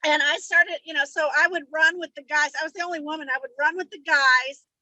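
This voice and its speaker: A woman projects a raised, high-pitched voice with a bright, sharp tone at a moderate pace and ordinary pitch variation, the sound dry and close with no echo. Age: 60s. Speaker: book discussion group member. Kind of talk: casual chat.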